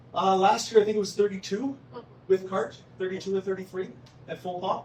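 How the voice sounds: Speaking at a fairly quick pace, a man has a high pitch, a slightly mellow tone and fairly even intonation.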